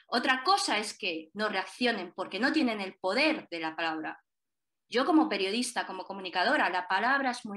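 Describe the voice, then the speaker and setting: Against a quiet background, a woman speaks at a moderate pace and a fairly high pitch. Her tone is bright and sharp, with lively intonation. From Spain, child of Chinese immigrants. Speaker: journalist and documentary director; journalist panelist. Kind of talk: panel discussion. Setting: online video event. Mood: earnest, engaged. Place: home room. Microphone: video call.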